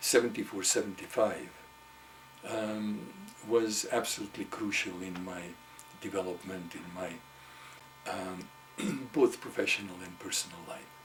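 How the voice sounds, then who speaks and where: A man's fairly low voice with ordinary pitch variation, big swings in loudness, long, frequent pauses, and noticeable background noise. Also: moderate pace. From Hungary. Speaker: psychotherapist. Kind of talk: interview answer.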